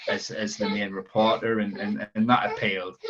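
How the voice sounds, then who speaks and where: At a moderate pace, a man speaks with a strong Sunderland accent. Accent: strong Sunderland (Mackem). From northern England, Sunderland. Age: 20s. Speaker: football reporter. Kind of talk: podcast interview. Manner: halting, many repetitions and fillers.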